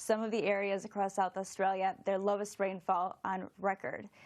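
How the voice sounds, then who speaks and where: With a Florida accent, a woman talks at medium pitch and a moderate pace. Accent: American (Florida). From US, Florida. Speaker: meteorologist. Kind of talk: TV weather interview.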